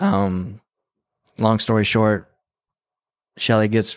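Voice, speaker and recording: With an American accent and a fairly low pitch, a man speaks at a fairly slow pace on a very clean recording with a silent background. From New Mexico, US Southwest. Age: 30s. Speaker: videographer and former bull rider. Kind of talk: casual interview conversation. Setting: in person, motel room.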